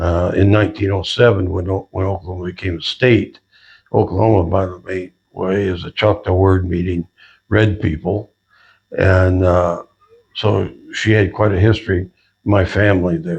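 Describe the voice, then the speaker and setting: A man talks with a very deep, low pitch and somewhat breathy voice. His intonation stays fairly even. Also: moderate pace. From Southern California. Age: 80s+. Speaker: retired sheriff's deputy. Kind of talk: interview. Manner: halting, with many fillers.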